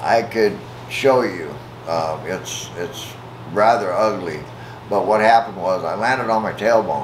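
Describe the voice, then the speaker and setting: Noticeable background noise and audible room echo surround a man with an American accent, whose fairly low voice shows ordinary pitch variation. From US Midwest, Omaha, Nebraska. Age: 70s. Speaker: interviewee, retired railroad worker. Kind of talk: interview. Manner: halting, many fillers.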